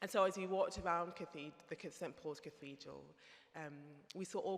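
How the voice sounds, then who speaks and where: A woman with a Birmingham accent and monotone, flat intonation. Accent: Brummie. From Birmingham, England. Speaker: theologian. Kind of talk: conference talk.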